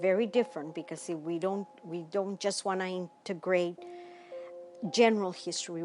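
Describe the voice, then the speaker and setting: A woman at a medium pitch, with music in the background. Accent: American. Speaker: civil rights activist. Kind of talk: interview answer.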